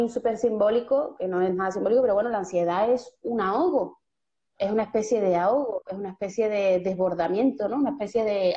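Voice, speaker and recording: Speaking with an Andalusian accent, a woman talks at a moderate pace with a fairly high pitch. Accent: Andalusian Spanish (Seville). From Seville, Andalusia, Spain. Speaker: writer and poet, creative workshop leader. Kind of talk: casual interview conversation. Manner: animated.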